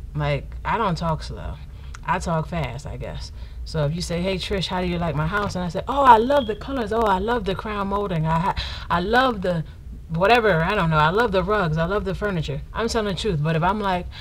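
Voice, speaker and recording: The speech moves at a fairly quick pace. Noticeable background noise and audible room echo fill the recording. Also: woman. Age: 30s. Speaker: vlogger. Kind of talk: casual Q&A vlog.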